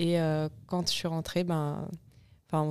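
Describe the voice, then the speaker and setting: A woman speaks in a fairly low pitch with a dark, mellow tone. Her intonation is monotone and flat. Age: 20s. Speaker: clothing company co-founder. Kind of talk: casual interview.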